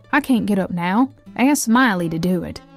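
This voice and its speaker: Against music in the background, a woman is talking. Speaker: storyteller. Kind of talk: folk story narration.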